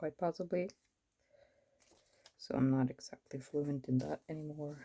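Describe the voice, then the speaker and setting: A woman with a Norwegian accent speaks at a moderate pace, her pitch very deep and low with ordinary variation. Her tone is dark and mellow, and the sound is dry and close with no echo. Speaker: planner vlogger. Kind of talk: casual chat. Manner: casual, rambling with fillers.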